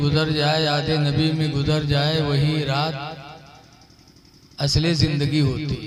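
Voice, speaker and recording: A man's voice sits fairly high in pitch, with audible echo from the room around it. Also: very even loudness. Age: 50s. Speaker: Islamic preacher. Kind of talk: sermon.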